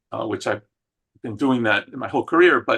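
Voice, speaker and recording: A man with a Spanish accent, fairly quick delivery, ordinary pitch variation and a bright, sharp tone. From Argentina, then Queens New York and Puerto Rico. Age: 60s. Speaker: psychologist and inclusion consultant. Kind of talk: interview. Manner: many fillers (um, uh).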